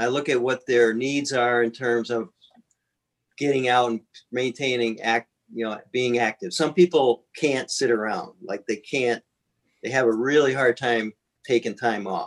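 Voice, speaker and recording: A man speaks at a medium pitch and a fairly slow pace, with fairly even intonation, in a plain, everyday voice, recorded with a dry, close sound and no echo. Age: 60s. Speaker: triathlon coach and athlete. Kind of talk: casual chat.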